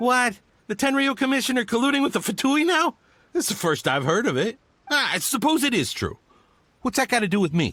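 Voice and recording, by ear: A man does a put-on character voice at an extremely high pitch, bright and sharp in tone, with big pitch swings and a fairly quick pace.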